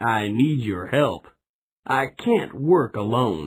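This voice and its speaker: A man's put-on character voice at medium pitch, very slow pace, and lively intonation. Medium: read story.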